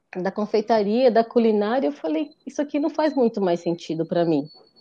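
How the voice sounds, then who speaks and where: A woman with a dark, mellow tone speaks in very wide pitch swings. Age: 40s. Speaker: confectioner. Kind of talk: casual chat.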